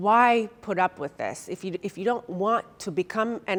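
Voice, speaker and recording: A woman speaks with fairly even intonation. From Turkey, later United States. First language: Turkish. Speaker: fitness trainer and motivational speaker. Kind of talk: personal story talk to an audience.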